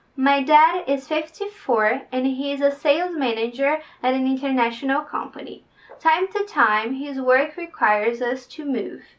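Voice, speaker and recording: In a Brazilian Portuguese accent, a woman speaks at a high pitch and a moderate pace with ordinary pitch variation. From Brazil, northeast. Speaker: vlogger, future au pair. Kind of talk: reading aloud her written application; casual vlog talk.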